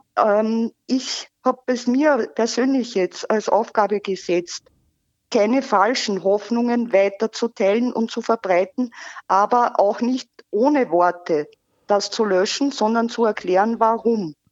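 Speaking very slowly at very even loudness, a woman has a fairly high pitch with ordinary pitch variation. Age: 40s. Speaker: caller, volunteer fake-news debunker. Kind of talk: phone interview. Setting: phone call.

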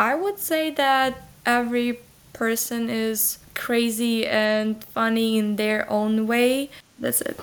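In a Ukrainian accent, the speaker goes at a very slow pace with fairly even intonation. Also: woman, fairly high pitch for a woman. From Ukraine, Lviv. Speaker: exchange student alumna. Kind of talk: interview.

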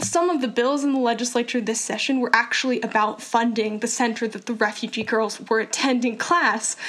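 A woman's fairly high, fairly even voice at a fairly quick pace with hardly any pauses, over noticeable background noise. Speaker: nonprofit founder. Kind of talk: interview.

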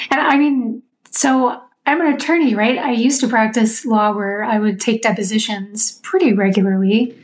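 A woman's fairly high-pitched voice, a plain, everyday voice with ordinary pitch variation. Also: moderate pace. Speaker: lawyer, semi-retired. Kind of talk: casual chat.

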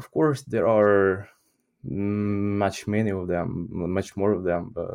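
Speaking with a Ukrainian accent, a man talks at a very slow pace in a fairly low pitch with ordinary pitch variation. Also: very clean recording, silent background. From Ukraine. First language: Ukrainian or Russian. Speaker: English teacher. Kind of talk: interview. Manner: halting.

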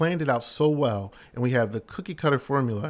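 On a very clean recording with a silent background, a man with an American accent and an unremarkable speaking voice talks at a moderate pace with ordinary pitch variation. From US Northeast, West Philadelphia. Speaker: pastor. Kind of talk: casual chat.

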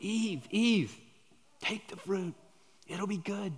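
This is a put-on character voice, whispering. The pace is very slow. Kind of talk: coaxing.

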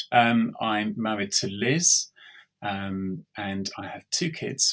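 A man speaks with an English accent in a fairly low pitch, with ordinary pitch variation. His tone is bright and sharp. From England, east London. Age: 40s. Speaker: IT audit manager, podcast guest. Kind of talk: interview testimony. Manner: hesitant, many fillers.

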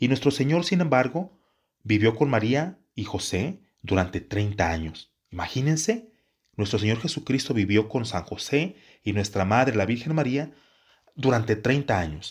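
A man with a somewhat breathy voice at medium pitch talks at a fairly slow pace with very wide pitch swings, on a very clean recording with a silent background. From Mexico, Jalisco. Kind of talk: religious teaching talk. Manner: halting, with repetitions.

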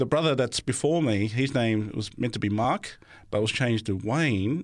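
A man with an Australian accent, fairly low in pitch, ordinary pitch variation, moderate pace, on a very clean recording with a silent background. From Australia, Sydney. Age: 40s. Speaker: theology student. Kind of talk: testimony. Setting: studio.

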